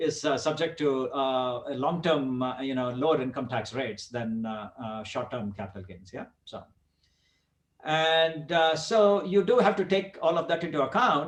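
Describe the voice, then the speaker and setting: A man speaks at a fairly high pitch with lively intonation. His loudness swings widely. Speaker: real estate investor presenter. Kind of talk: webinar presentation. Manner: fast; halting, many fillers.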